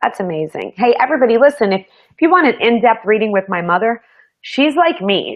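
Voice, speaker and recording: This woman has a plain, everyday voice, talking at a moderate pace with lively intonation. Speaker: show host and psychic. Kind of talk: live show chat.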